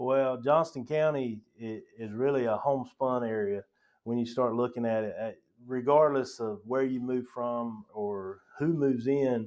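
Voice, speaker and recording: The man's intonation is fairly even, and the background is quiet. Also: medium pitch for a man, fairly slow pace. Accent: North Carolina. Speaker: county parks director. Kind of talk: podcast interview.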